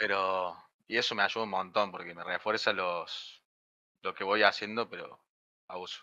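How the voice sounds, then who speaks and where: Against a quiet background, a man speaks at a moderate pace with long, frequent pauses and big swings in loudness. His pitch is fairly low and his intonation monotone and flat, with a bright, sharp tone. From Argentina, Río Cuarto, Córdoba; Córdoba, Argentina. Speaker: software development student; programming streamer. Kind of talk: casual chat; casual livestream chat. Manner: halting. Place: home room. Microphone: studio mic.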